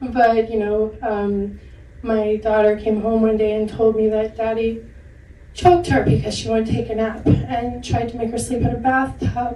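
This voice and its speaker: A woman's fairly high voice at a moderate pace, fairly even in intonation, with noticeable background noise and audible room echo. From Maine. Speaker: domestic abuse survivor on a panel. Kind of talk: personal testimony. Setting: panel discussion with audience at a film center.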